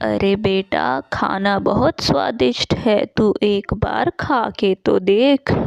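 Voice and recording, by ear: In a cartoonish character voice with a dry, close sound and no echo, a woman speaks slowly at a medium pitch, with big pitch swings and vocal fry.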